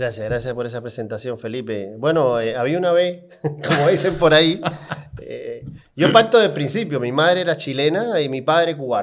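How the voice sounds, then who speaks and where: A man speaks at a fairly high pitch and a moderate pace. His intonation is lively and his tone animated. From Cuba, Havana. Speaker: car salesman and sales trainer. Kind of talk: podcast interview storytelling. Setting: podcast studio.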